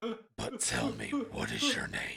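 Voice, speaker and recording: A man uses a raspy, put-on character voice. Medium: actual play. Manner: blunt, gruff.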